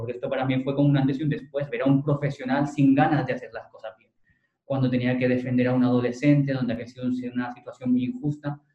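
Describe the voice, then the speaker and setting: A man talks at a very fast pace in a medium pitch. His tone is dark and mellow, and somewhat breathy. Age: 20s. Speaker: lawyer. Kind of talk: interview.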